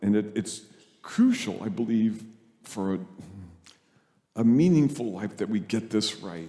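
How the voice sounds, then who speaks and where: A man with a dark, mellow tone and fairly low pitch speaks with ordinary pitch variation amid audible room echo. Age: 70s. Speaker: priest. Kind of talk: sermon.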